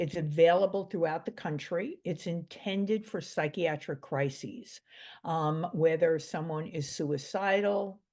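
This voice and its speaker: Over a quiet background, a woman with a New York accent talks at a fairly slow pace, her fairly low pitch showing ordinary variation. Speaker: mental health expert. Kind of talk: interview.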